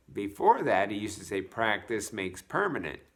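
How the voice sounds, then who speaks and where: The man talks in a bright, sharp tone. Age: 60s. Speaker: fitness vlogger. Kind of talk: casual vlog monologue. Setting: at home. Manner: halting, many fillers and restarts.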